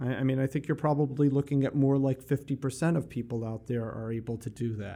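A man talks very fast at a medium pitch with hardly any pauses. His tone is dark and mellow, and his intonation stays fairly even. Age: 50s. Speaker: addiction treatment provider. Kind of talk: casual chat.

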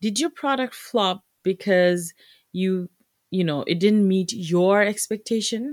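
At a very slow pace, a woman of medium pitch speaks in a dry, close sound with no echo, recorded very cleanly against a silent background. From Bangladesh. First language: Bengali. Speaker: podcast host, entrepreneur. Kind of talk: solo podcast monologue, business tips. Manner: casual, many filler words.

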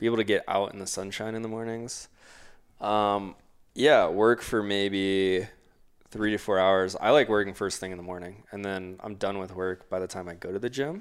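Speaking at a moderate pace in a normal speaking voice, a man with fairly low pitch keeps a fairly even intonation while his loudness swings widely. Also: very clean recording, silent background. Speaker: podcast co-host. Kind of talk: casual chat.

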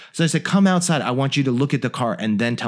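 Speaking with a General American accent, a man of medium pitch uses very wide pitch swings in a very clean recording with a silent background. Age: 40s. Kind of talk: casual interview chat.

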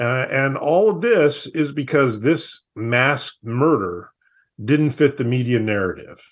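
Speaking slowly with an American accent, the man keeps his intonation lively. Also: medium pitch for a man.

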